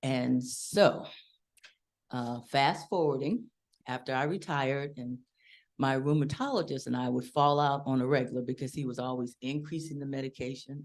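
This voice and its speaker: A woman's very deep, low voice at a moderate pace, with long and frequent pauses. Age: 60s. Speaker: retired art teacher giving a testimonial. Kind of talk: testimony. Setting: live event with audience.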